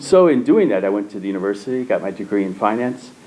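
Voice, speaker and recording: Lively intonation and a fairly quick pace mark this speaker with an American accent, heard over noticeable background noise. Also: man. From US Midwest, St. Louis, Missouri. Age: 70s. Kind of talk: interview. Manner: halting.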